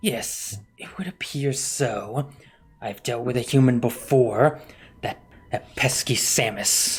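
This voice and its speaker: Using a put-on character voice, a man speaks at a medium pitch and fairly slow pace. His loudness swings widely. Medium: actual play.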